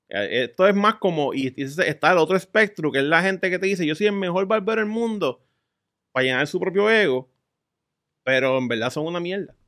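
A man with a Puerto Rican accent speaks at a fairly quick pace in a high-pitched voice with lively intonation. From Puerto Rico. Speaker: podcast guest, adult content creator. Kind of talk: casual chat.

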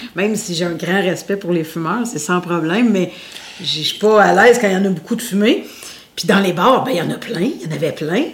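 Against noticeable background noise, a woman talks at a fairly quick pace and medium pitch with ordinary pitch variation. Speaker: singer and radio host. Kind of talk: interview. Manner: loud.

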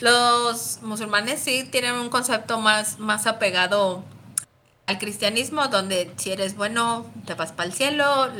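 With a central Mexican accent, the speaker goes at a fairly slow pace in a bright, sharp tone with ordinary pitch variation. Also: woman. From Mexico, León, Guanajuato. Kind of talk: casual chat.

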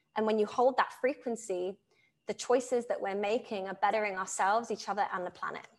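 A woman speaks at a fairly high pitch and a fairly quick pace, with ordinary pitch variation. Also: very clean recording, silent background. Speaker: spiritual channel and coach. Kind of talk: interview conversation. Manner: fast.

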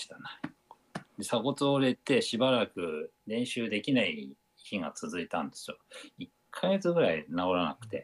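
A man's voice of medium pitch with very wide pitch swings. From Japan, Aomori. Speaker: amateur runner and tempura chef. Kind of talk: casual interview. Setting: video call.

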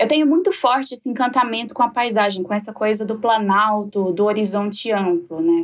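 Fairly high in pitch with ordinary pitch variation, a woman speaks in a plain, everyday voice. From Jataí, Goiás, Brazil. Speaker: podcast host. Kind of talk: casual chat.

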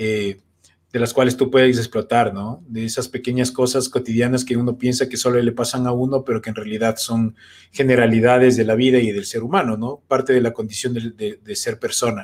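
The man speaks at a fairly quick pace. His medium-pitched delivery is monotone and flat. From Ecuador. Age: 30s. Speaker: comedian. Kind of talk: casual chat.

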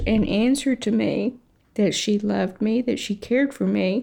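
A woman with an American accent speaks at a fairly high pitch with vocal fry. She talks at a fairly slow pace. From Texas. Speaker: interviewee sharing family story. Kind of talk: testimony.

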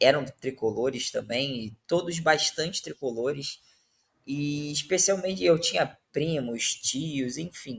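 Somewhat breathy, this man speaks at a very slow pace. His pitch is fairly high, with ordinary variation. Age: 30s. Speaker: football fan guest. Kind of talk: casual chat.

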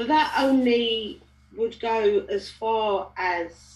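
Her intonation lively, a woman speaks at a fairly high pitch. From Balham, south London. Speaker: parent guest. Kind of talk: casual chat.

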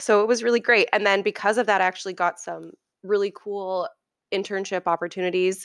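Recorded very cleanly against a silent background, a woman with an Ontario accent sounds dry and close, with no echo. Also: medium pitch for a woman, fairly quick pace. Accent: Canadian (Ontario). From Ontario, Canada (Oakville). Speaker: chef. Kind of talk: casual interview. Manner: animated.

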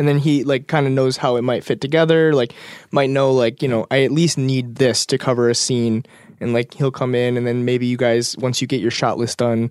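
A man speaks in a plain, everyday voice at a medium pitch and a fairly quick pace, with fairly even intonation. The recording is very clean with a silent background. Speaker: podcast host. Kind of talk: interview. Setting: in person in Detroit.

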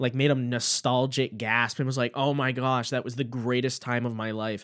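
Speaking in an animated tone at a fairly quick pace, a man with a medium pitch comes through on a very clean recording with a silent background. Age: 20s. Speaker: podcast host. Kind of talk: casual chat.

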